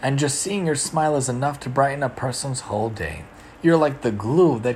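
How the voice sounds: The clip offers a natural reading voice with ordinary pitch variation.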